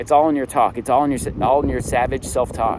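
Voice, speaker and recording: A man's fairly high voice at a very fast pace amid noticeable background noise. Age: 40s. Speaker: motivational vlogger, single dad. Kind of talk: motivational monologue. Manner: animated.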